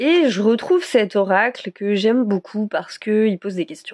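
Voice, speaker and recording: Speaking at a very slow pace, a woman uses lively intonation. Her pitch is medium. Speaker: tarot card reader. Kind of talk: weekly card guidance vlog. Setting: at home, moving house. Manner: hesitant, many fillers.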